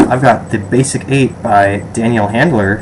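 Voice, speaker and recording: Noticeable background noise under a man with an American accent. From Western New York, Rochester. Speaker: vlogger. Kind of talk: casual survey vlog. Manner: hesitant, many fillers.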